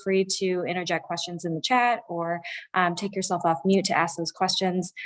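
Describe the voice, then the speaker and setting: A woman with an American accent and a medium pitch. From Chicago western suburbs, US Midwest. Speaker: economic development program director. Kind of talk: conference presentation. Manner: fast; halting, many fillers.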